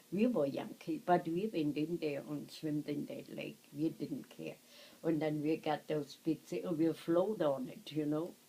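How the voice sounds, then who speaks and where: A woman with a German accent speaks fairly slowly in a dark, mellow tone at a very deep, low pitch. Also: ordinary pitch variation. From Germany. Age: 80s+. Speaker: war survivor recalling childhood. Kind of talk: reminiscing, casual storytelling. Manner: halting.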